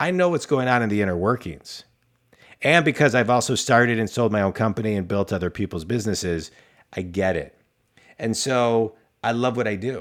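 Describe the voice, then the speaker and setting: With a normal speaking voice, a man talks at a medium pitch and fairly quick pace with ordinary pitch variation. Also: very clean recording, silent background. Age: 40s. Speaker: business coach and podcast host. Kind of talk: casual interview.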